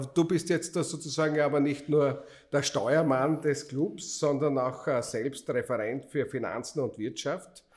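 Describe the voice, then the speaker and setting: This man has a normal speaking voice with a fairly high pitch. He talks at a fairly slow pace with fairly even intonation. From Austria, Styria. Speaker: podcast host and city councillor. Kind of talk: casual chat.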